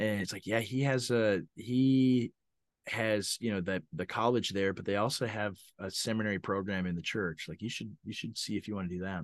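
Over a quiet background, a man talks at a moderate pace and a fairly low pitch, with ordinary pitch variation. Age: 30s. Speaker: pastor. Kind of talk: casual chat. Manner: halting.

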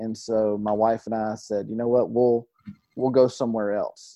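The man talks fairly quickly, his intonation fairly even. It is an unremarkable speaking voice with a medium pitch. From Georgia, US South (near Atlanta). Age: 30s. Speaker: pastor. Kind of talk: interview.

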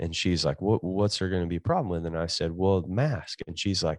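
A man's very deep, low voice, dark and mellow in tone, very fast, with a dry, close sound and no echo. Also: quiet background. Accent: Kentucky Appalachian. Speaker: pastor. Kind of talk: casual interview chat. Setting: remote call from California.

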